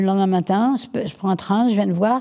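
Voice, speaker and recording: A woman speaks at medium pitch. Her tone is dark and mellow. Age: 70s. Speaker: entrepreneur. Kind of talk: interview. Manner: halting, many repetitions.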